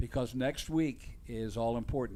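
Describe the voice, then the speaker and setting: At a medium pitch, a man speaks with ordinary pitch variation. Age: 60s. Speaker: motocross race announcer. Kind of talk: live commentary.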